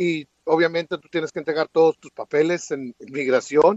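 The pace is fairly quick. It's an ordinary speaking voice. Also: man. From Mexico (Chihuahua). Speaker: immigration commentator. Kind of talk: interview.

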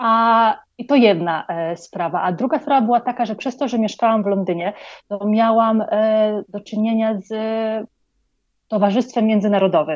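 The woman's pitch is fairly high and varies in an ordinary way. She keeps to a moderate pace. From Poland. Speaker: psychologist and project founder. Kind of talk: interview. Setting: online call from Colombia.

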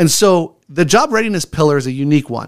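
Against a silent background in a very clean recording, a man with a fairly high voice speaks with lively intonation. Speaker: homeless mission executive director. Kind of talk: radio interview. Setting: radio studio. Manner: loud and animated when excited.

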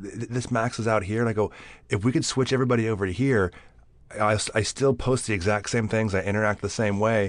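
Over a quiet background, a man with an American accent speaks at a very fast pace with fairly even intonation. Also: fairly low pitch for a man. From California, Bakersfield. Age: 40s. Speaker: actor and stuntman. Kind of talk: casual chat.

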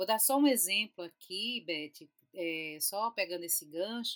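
At a fairly slow pace, a woman talks at a medium pitch in an unremarkable speaking voice. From Recife, Pernambuco, Brazil. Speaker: chemistry professor and institute director. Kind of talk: casual chat.

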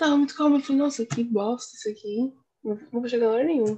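Somewhat breathy woman's voice, fairly high yet dark and mellow in tone, ordinary pitch variation, fairly quick pace. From Brazil, São Paulo city East Zone. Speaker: podcast co-host. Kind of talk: casual chat.

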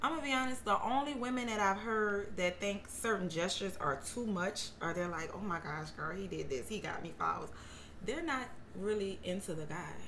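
A woman talks at a fairly quick pace with lively intonation and a medium pitch. Audible room echo and noticeable background noise surround her voice. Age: 30s. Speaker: hairstylist. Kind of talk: casual chat.

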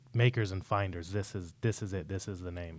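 With a plain, everyday voice and an American accent, a man of fairly low pitch speaks in fairly even intonation on a very clean recording with a silent background. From Salt Lake City, Utah. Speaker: podcast host. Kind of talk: interview.

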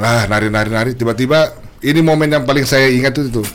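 Over noticeable background noise, a man speaks at a fairly quick pace with an animated tone, medium pitch and ordinary pitch variation. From Balikpapan, Indonesia. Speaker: singer. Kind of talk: casual chat.

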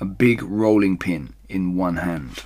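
A man's low pitch with a slightly husky edge

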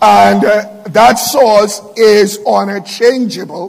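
The pitch varies in an ordinary way. Background noise is noticeable, and room echo can be heard. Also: man. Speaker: pastor. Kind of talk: sermon.

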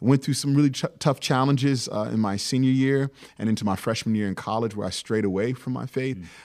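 In a very clean recording with a silent background, a man with an American accent and an ordinary speaking voice talks at a fairly quick pace, at a medium pitch with ordinary pitch variation. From Virginia, Hampton Roads area. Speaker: pastor. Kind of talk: interview.

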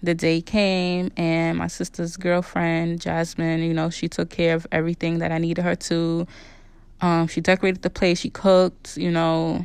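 Against a quiet background, the voice holds a monotone, flat intonation at a moderate pace. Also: woman, fairly low pitch for a woman. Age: 30s. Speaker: podcast host. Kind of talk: casual personal monologue.

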